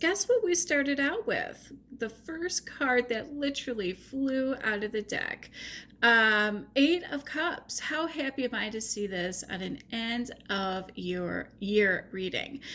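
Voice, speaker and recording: A woman with a Chicago accent talks at a very slow pace, her bright, sharp tone rising and falling in very wide pitch swings. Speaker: tarot reader. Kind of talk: tarot reading monologue. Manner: animated.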